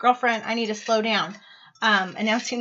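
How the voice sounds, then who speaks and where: Noticeable background noise under a woman's speech. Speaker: tarot reader. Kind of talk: monthly tarot reading to camera. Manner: fast; casual, filler-heavy.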